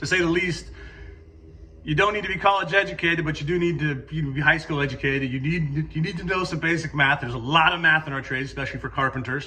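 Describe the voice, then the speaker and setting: An energetic, bright, sharp tone with ordinary pitch variation comes through with audible room echo. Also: man. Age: 40s. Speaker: construction company owner. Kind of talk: career talk to students. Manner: casual, energetic with frequent fillers.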